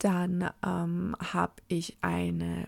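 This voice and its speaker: In a very clean recording with a silent background, a woman speaks with a dry, close sound and no echo. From Franconia, Germany (Fürth/Nuremberg area). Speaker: podcast host, cloth diaper consultant. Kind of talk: solo podcast monologue. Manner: animated.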